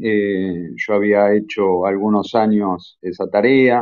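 Here a man speaks at a fairly low pitch. His intonation is monotone and flat. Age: 40s. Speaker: medical doctor, geneticist. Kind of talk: lecture-style talk in a live audio chat room. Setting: online audio chat room.

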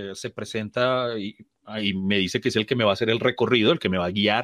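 With a Colombian accent, a man speaks at a medium pitch against a quiet background. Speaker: comedian. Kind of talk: casual chat.

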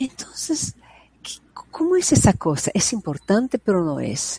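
Her pitch swings very widely as this woman speaks at a fairly slow pace, the sound dry and close with no echo. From Brazil. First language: Portuguese (speaking Spanish). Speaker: psychologist and prenatal education advocate. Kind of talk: interview conversation. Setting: video call.

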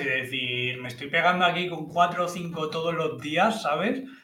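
Noticeable background noise and audible room echo surround a man speaking at a moderate pace. His fairly high voice carries lively intonation. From Menorca, Spain. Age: 30s. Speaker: professional poker player. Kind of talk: casual chat.

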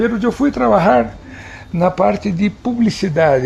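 A man speaks over noticeable background noise. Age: 50s. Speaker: TV drama director. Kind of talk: interview.

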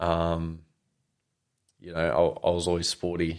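On a very clean recording with a silent background, a man with an Australian accent speaks in a very deep, low pitch. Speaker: mechanic. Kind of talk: casual chat.

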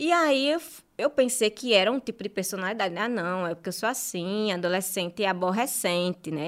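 On a very clean recording with a silent background, a woman speaks fairly quickly. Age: 30s. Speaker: journalist and marketing specialist. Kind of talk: interview, personal testimony.

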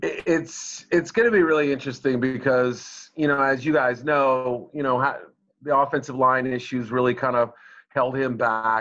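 A man with an American accent speaks in an ordinary speaking voice at medium pitch, with fairly even intonation at a moderate pace against a quiet background. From Boston area, US. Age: middle-aged. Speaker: sports journalist. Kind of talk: interview.

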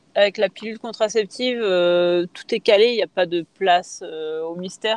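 A woman talks in a plain, everyday voice at a medium pitch. Her intonation stays fairly even. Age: 30s. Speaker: triathlete. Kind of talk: casual interview.

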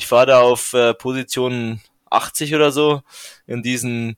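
Recorded with a dry, close sound and no echo, a man has an ordinary speaking voice with medium pitch and fairly even intonation. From Bavaria, Regensburg (Upper Palatinate). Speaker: professional cyclist. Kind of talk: interview.

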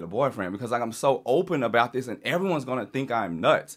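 Very fast speech in an American accent, with very wide pitch swings. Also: man, very clean recording, silent background. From Louisiana, US South. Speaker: mental health advocate and press secretary. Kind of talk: casual chat.

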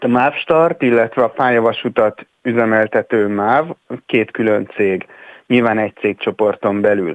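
In a normal speaking voice, a man talks fairly slowly at medium pitch with ordinary variation and very even loudness. The sound is dry and close with no echo. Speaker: mobility expert. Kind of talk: radio interview.

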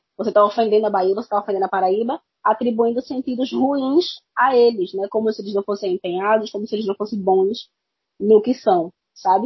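A woman's fairly high, somewhat breathy voice in a Pernambuco accent, fairly quick in pace with ordinary pitch variation. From Pernambuco, Brazil. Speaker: podcast guest. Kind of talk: casual chat.

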